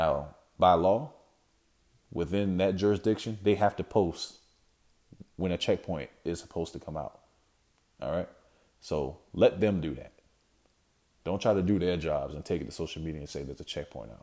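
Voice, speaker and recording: A man with a very deep, low pitch and a dark, mellow tone speaks with vocal fry and long, frequent pauses. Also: ordinary pitch variation, moderate pace. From South Carolina (Sumter). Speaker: podcast host. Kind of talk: solo monologue. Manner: casual, many fillers.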